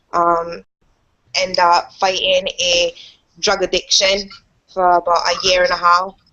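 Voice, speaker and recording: A woman speaks at medium pitch in a monotone, flat delivery with very even loudness. Her pace is fairly slow, with long, frequent pauses. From Cayman Islands. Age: 20s. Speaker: online marketer. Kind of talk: testimony. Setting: video call. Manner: halting.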